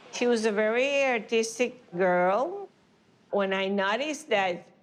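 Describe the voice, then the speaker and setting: A woman speaks with a Spanish accent at a fairly slow pace. Her pitch sits fairly high. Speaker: artist's mother. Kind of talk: documentary interview.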